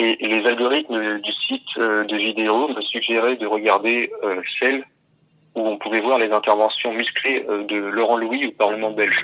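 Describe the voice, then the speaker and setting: This man talks at a fairly slow pace with a medium pitch. His intonation stays flat and monotone. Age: 20s. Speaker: scam victim. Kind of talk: testimony. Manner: halting.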